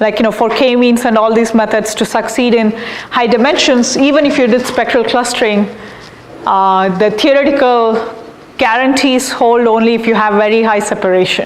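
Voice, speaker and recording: A woman's voice with very even loudness and fairly even intonation, amid noticeable background noise and audible room echo. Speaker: professor. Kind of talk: lecture. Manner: slow; halting.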